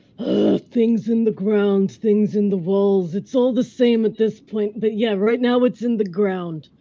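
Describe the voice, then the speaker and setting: This is a put-on character voice with a fairly high pitch. It moves at a fairly slow pace with hardly any pauses. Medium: actual play. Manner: dry, tired.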